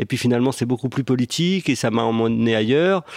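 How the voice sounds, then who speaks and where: A man at medium pitch and very fast pace, in a dry, close sound with no echo and a quiet background. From western Algeria. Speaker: film director. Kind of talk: casual chat.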